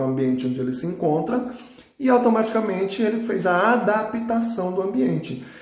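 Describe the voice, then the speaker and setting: There is audible room echo and noticeable background noise. A man speaks at a moderate pace with lively intonation. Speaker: biology teacher. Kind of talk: recorded lesson.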